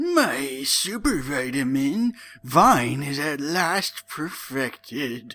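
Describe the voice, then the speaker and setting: A man's put-on character voice with lively intonation at a very slow pace. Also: fairly high pitch for a man. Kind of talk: dramatic comic reading. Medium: read story.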